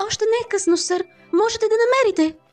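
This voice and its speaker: A put-on character voice, squeaky and extremely high in pitch, comes over faint music in the background. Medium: fan dub. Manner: soft, polite.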